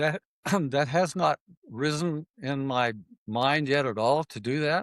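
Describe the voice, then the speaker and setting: Speaking very slowly with long, frequent pauses, a man has a fairly high pitch and ordinary pitch variation. The sound is dry and close, with no echo. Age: 70s. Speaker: triathlete, retired farmer. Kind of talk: interview conversation. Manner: hesitant, with fillers.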